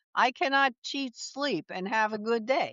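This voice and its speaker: The woman's intonation is lively. She keeps to a fairly slow pace. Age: 70s. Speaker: wellness coach, former litigator. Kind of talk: interview. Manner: animated.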